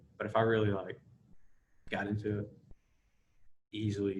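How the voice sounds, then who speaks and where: A man speaks at a fairly quick pace in a fairly low voice. His tone is somewhat breathy, with monotone, flat intonation. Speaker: college basketball player. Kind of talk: casual podcast interview.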